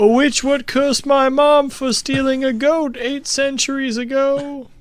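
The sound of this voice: A man uses a put-on character voice pitched extremely high. His intonation stays monotone and flat. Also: moderate pace.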